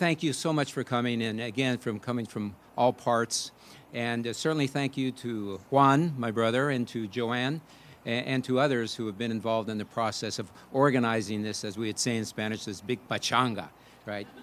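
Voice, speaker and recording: Using an American accent, a man talks at a moderate pace and medium pitch with ordinary pitch variation. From San Francisco, California. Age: 60s. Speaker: son of the birthday honoree giving a speech. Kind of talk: speech at family birthday celebration. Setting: family party with audience. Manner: halting with many fillers.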